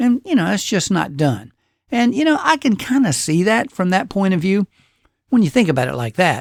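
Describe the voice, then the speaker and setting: With an Alabama accent, a man's voice makes very wide pitch swings in a very clean recording with a silent background and a dry, close sound with no echo. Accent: Southern US (Alabama). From Alabama, US South. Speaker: podcast host. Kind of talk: casual monologue.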